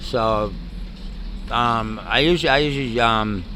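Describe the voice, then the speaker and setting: In a room with audible echo and noticeable background noise, a man with a New York accent speaks at medium pitch with fairly even intonation. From New York (Bronx, Queens, Long Island). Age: 60s. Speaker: homeless Navy veteran. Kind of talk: interview. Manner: halting.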